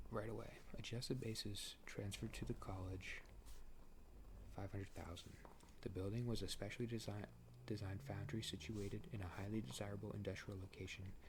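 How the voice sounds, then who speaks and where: Soft-spoken, a man talks at a fairly quick pace with vocal fry. His pitch is fairly low, with ordinary pitch variation. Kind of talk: ASMR sleep reading of a court case. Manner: casual, conversational, relaxed.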